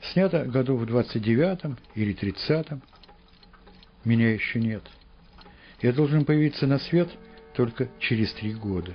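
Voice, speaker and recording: This man's voice sits at a medium pitch and swings very widely up and down. He speaks at a fairly slow pace. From Saint Petersburg. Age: 70s. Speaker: scientist and poet. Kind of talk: documentary narration.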